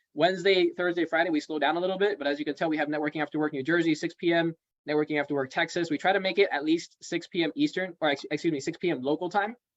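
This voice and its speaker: Talking at a very fast pace, a man with a fairly high pitch keeps his intonation fairly even in a dry, close sound with no echo. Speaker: networking event host. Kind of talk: online meeting announcements.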